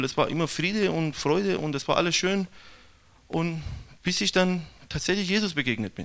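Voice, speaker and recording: In a Persian accent, a man with a high pitch speaks at a moderate pace, his tone bright and sharp and his pitch variation ordinary. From Iran. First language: Persian (speaking German). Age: young. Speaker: missionary. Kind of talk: testimony.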